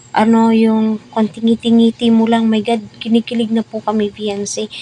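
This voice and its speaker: A woman with a fairly high pitch and a dark, mellow, somewhat breathy tone is heard in a dry, close recording with no echo. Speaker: showbiz commentary vlogger. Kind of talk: casual commentary monologue.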